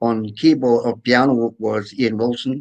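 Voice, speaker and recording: Here a man talks with a Scottish accent. His pace is very slow and his intonation fairly even. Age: 80s+. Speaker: accordionist. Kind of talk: interview. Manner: halting.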